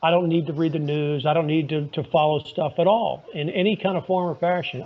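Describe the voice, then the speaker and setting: A man with fairly high pitch talks at a very fast pace. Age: 60s. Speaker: lawyer and podcaster. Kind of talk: casual interview chat. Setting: phone call. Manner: conversational with frequent fillers.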